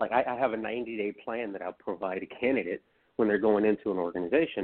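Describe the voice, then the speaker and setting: Speaking at a fairly quick pace, a man has an unremarkable speaking voice with a fairly low pitch. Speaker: co-host, recruiter. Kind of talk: casual chat.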